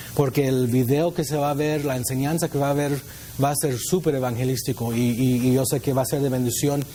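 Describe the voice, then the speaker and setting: A man talks at a fairly quick pace with very even loudness and fairly even intonation. Noticeable background noise sits behind him. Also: medium pitch for a man. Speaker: youth pastor. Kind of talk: sermon.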